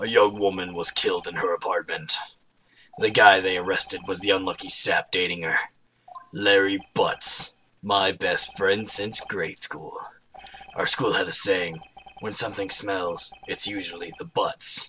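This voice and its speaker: A raspy, put-on character voice. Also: man, fairly low pitch for a man, moderate pace. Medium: actual play. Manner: earnest, slightly nervous.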